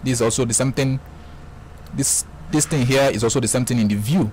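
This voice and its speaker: The man's voice sits at a medium pitch and moves at a very fast pace. Noticeable background noise runs behind him. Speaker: forex trading tutorial creator. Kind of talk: screen-recorded software tutorial. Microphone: voice sounds bad in the mic.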